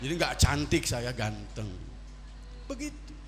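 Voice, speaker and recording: A man speaks with a West Javanese accent. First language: Sundanese (speaking Indonesian). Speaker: Islamic preacher. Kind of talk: sermon. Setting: religious gathering with audience. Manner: animated.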